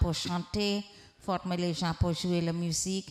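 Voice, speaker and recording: A woman speaks with a Hindi accent at a very slow pace. Her fairly low pitch stays monotone and flat. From Trinidad, rural village, Indian descent. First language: Hindi (speaking French). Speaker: prophetess, visiting preacher. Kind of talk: sermon. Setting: church with congregation.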